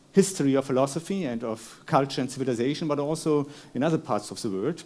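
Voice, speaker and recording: Talking at a fairly quick pace, a man with a German accent has lively intonation and a dark, mellow tone. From Germany. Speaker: philosopher. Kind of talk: lecture. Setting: stage with audience. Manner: halting.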